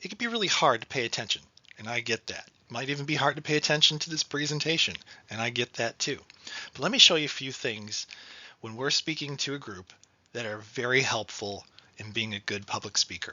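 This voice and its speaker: Talking at a fairly quick pace, a man with a medium pitch shows ordinary pitch variation and big swings in loudness. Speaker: financial education trainer. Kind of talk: training presentation. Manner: fast.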